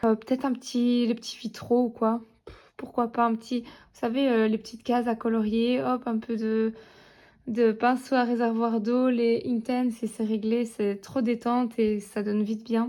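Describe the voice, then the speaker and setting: At a fairly slow pace, a woman with a fairly high pitch and a dark, mellow tone speaks in a flat monotone, her loudness swinging widely, in a very clean recording with a silent background. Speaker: coloring hobby vlogger. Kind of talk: casual vlog. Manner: hesitant, many fillers.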